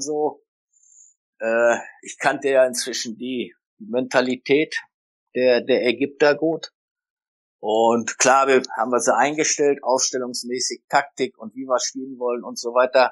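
A man at medium pitch and a fairly slow pace, with fairly even intonation, big swings in loudness and long, frequent pauses, in a dry, close sound with no echo against a quiet background. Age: 60s. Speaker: retired football coach. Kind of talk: interview. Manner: hesitant, many fillers.

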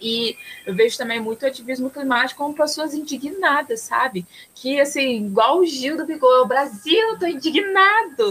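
With lively intonation, a woman speaks at a moderate pace in a high pitch while noticeable noise sits in the background. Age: 20s. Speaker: environmental engineer and climate activist. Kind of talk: podcast interview.

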